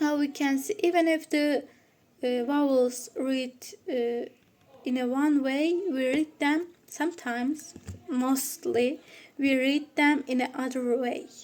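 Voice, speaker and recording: A woman with a non-native accent speaks at a very slow pace. Her pitch is high and her intonation fairly even. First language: Turkish. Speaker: student presenter. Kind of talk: student presentation. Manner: halting.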